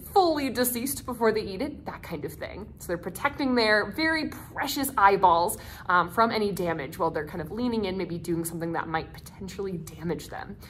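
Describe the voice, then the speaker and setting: A woman at a fairly quick pace, with very wide pitch swings and light background noise. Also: hardly any pauses, big swings in loudness. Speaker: nature center educator. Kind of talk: educational talk. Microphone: phone near.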